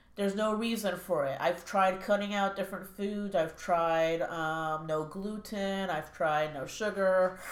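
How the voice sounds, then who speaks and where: A woman speaks fairly slowly in a medium pitch, with hardly any pauses and fairly even intonation. Audible room echo surrounds her voice. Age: 20s. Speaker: chronic pain sufferer sharing her story. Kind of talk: casual interview.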